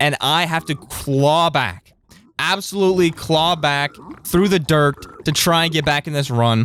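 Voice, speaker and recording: An ordinary speaking voice with ordinary pitch variation, a fairly slow pace, and very even loudness. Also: man, fairly high pitch for a man. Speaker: Minecraft speedrunner and streamer. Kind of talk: gameplay commentary.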